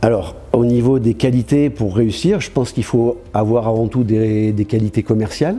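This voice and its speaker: Over noticeable background noise, a man at medium pitch talks with hardly any pauses. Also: ordinary pitch variation, moderate pace. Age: 60s. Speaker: franchise store owner. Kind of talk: interview testimony. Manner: hesitant, many fillers.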